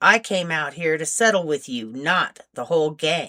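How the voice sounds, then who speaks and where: Growling in a put-on character voice, a woman speaks in a very deep, low pitch at a moderate pace with lively intonation. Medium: read story.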